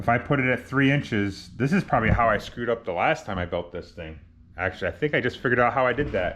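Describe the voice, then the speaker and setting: A man speaks at a very fast pace with lively intonation. His voice has vocal fry. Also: medium pitch for a man. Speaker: DIY car builder, garage channel host. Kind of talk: casual workshop vlog, talking to camera. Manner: casual, thinking aloud with self-corrections.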